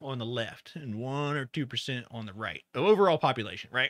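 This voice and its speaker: A man speaks with ordinary pitch variation. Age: 40s. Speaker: podcast co-host. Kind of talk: casual chat.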